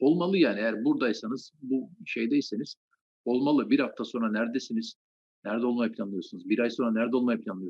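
At a very fast pace, a man with a medium pitch talks with ordinary pitch variation. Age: 40s. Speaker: anatomy lecturer. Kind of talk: interview.

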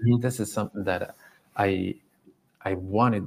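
A somewhat breathy man speaks at a moderate pace in a fairly low pitch, his intonation monotone and flat. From Belgium. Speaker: dog trainer. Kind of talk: casual interview chat.

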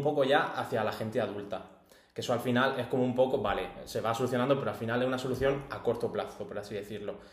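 A man at a very fast pace, medium pitch and ordinary pitch variation, with audible room echo and noticeable background noise. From Almería, Andalusia, Spain. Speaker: podcast guest. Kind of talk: casual chat.

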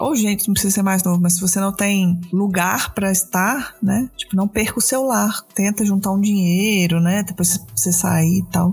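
A woman's medium-pitched voice at a moderate pace, with fairly even intonation, very even loudness, hardly any pauses, and noticeable background noise. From Brazil, Belo Horizonte. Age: 30s. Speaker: podcast host, guest-hosting this episode. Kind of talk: casual chat.

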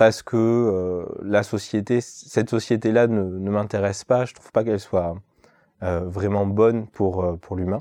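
A man's dark, mellow voice at a fairly low pitch, fairly slow and fairly even in intonation, with big swings in loudness over a quiet background. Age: 30s. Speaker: market gardener. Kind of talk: interview. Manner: hesitant, many filler sounds.

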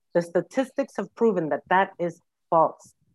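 Dry, close sound with no echo from a woman with a New York accent. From New York City. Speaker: social worker. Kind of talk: interview.

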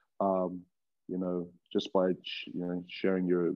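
A man's very deep, low voice with an Australian accent and monotone, flat intonation. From Australia, Wollongong. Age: 20s. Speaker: professional rugby player. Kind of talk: casual chat.

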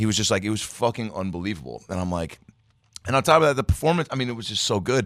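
Speaking at a very fast pace with an American accent, this voice has vocal fry and very wide pitch swings. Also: man, fairly low pitch for a man. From Seattle area, US Pacific Northwest. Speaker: comedian. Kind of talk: casual chat. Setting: studio. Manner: animated.

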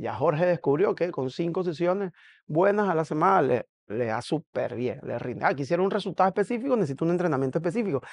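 A man with a high voice talks at a very fast pace with lively intonation, the sound dry and close with no echo over a quiet background. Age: 40s. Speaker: CrossFit coach. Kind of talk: casual monologue reacting to a video.

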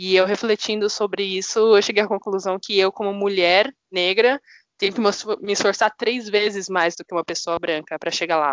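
A woman of medium pitch in a normal speaking voice, at a moderate pace with fairly even intonation. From São Paulo, Brazil. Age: 20s. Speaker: data analytics manager. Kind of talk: podcast interview.

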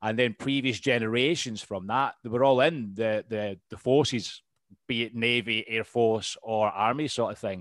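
Speaking at a moderate pace with fairly even intonation, a man with a Scottish accent has a medium pitch, and the recording is very clean with a silent background. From Scotland. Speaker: podcast host and veteran. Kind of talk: casual interview chat.

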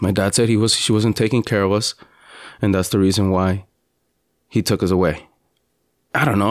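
In a very clean recording with a silent background, a man with a plain, everyday voice talks at a fairly quick pace, his pitch fairly low and his intonation fairly even. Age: 30s. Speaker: podcast host. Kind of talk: personal monologue. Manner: conversational, with fillers.

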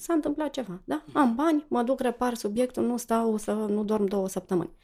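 A woman with a fairly high pitch and a dark, mellow tone talks at a fairly slow pace with lively intonation. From Romania, Cluj. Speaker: financial educator. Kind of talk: interview conversation.

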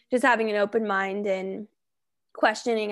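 A woman with a normal speaking voice and an American accent talks at a fairly quick pace, her medium pitch showing ordinary variation. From Colorado. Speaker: podcast host and personal trainer. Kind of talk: casual interview chat.

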